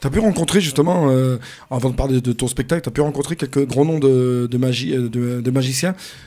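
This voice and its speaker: A man's medium-pitched, dark, mellow voice at a fairly quick pace, with ordinary pitch variation. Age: 40s. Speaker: radio host. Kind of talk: radio interview.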